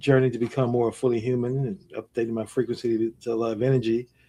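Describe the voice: This man has a St. Louis accent and a medium pitch. His tone is dark and mellow.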